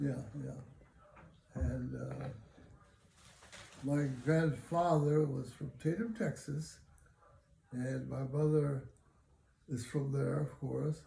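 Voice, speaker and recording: A man with an American accent speaks at a very slow pace. He leaves long, frequent pauses. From Los Angeles, California. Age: 90s. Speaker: elderly interviewee. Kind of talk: oral history interview. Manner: halting, many fillers.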